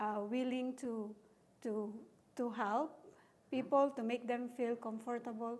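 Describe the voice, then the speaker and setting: A woman's fairly high voice with a non-native accent, fairly slow and flat, almost monotone in intonation. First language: not English. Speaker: business assistant. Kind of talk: casual interview.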